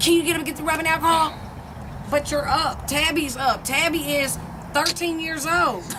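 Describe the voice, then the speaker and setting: A raised, projected voice goes by at a very fast pace over noticeable background noise. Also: woman. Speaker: vlogger. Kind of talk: casual chat. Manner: loud; animated.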